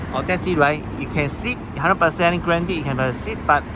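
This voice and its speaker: Very fast man's speech in a Singaporean accent, with audible room echo and noticeable background noise. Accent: Singaporean English (Singlish). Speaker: travel vlogger. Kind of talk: casual vlog talk to camera.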